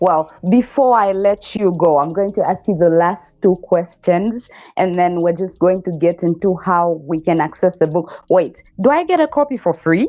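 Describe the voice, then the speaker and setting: Her pitch is medium, with ordinary variation. The woman keeps a moderate pace and hardly any pauses. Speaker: podcast host. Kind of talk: casual interview chat. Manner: loud.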